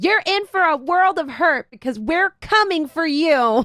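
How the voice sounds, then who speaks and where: A put-on character voice at a moderate pace. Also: woman, extremely high pitch for a woman. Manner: menacing.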